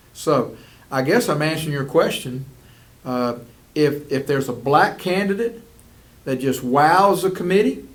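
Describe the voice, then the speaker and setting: In a Southern US accent, a man speaks at a moderate pace with a fairly high pitch and lively intonation. He leaves long, frequent pauses. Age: 60s. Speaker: school superintendent. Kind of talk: interview.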